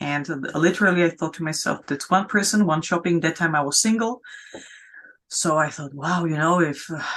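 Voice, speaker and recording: At a moderate pace, a woman with a non-native accent speaks at a fairly low pitch with ordinary pitch variation. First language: not English. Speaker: founder of sustainability business network. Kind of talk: interview. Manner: halting, many fillers.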